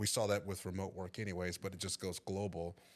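In a Texan accent, a man speaks at a fairly low pitch in a very clean recording with a silent background. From East Texas (Tyler). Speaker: IT staffing director. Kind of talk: casual chat. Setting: studio.

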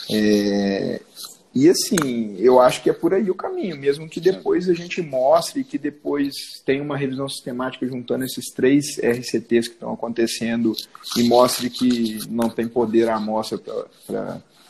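A man with an unremarkable speaking voice speaks fairly slowly, his pitch varying in an ordinary way. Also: medium pitch for a man. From Minas Gerais, Zona da Mata (Rio Pomba, Juiz de Fora). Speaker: orthopedic surgeon. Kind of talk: casual interview chat.

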